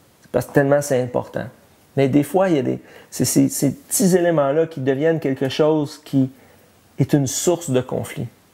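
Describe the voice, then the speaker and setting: Speaking in a Quebec accent, a man with a fairly high pitch and a dark, mellow tone talks at a moderate pace, his loudness swinging widely while his intonation stays fairly even. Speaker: pastor. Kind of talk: sermon. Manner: halting, many repetitions and fillers.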